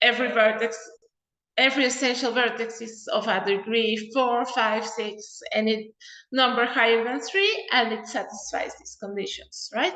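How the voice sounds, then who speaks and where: A woman with a fairly high pitch and a bright, sharp tone, her loudness swinging widely amid audible room echo. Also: ordinary pitch variation, moderate pace. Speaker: mathematician. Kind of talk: lecture.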